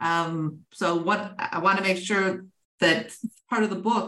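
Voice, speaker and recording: Speaking with an American accent, a woman has an ordinary speaking voice at a medium pitch and a moderate pace. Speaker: podcast host. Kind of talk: interview.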